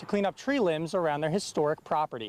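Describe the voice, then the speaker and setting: In a dry, close sound with no echo, a man talks at a very fast pace in a high pitch with ordinary pitch variation. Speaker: TV news reporter. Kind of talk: TV news reporter package and live shot.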